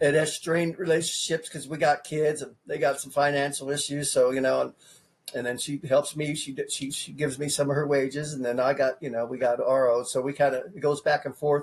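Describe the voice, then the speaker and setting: A somewhat breathy voice with an American accent at a moderate pace. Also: man. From California. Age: 50s. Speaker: presidential candidate. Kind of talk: interview. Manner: casual, repetitive.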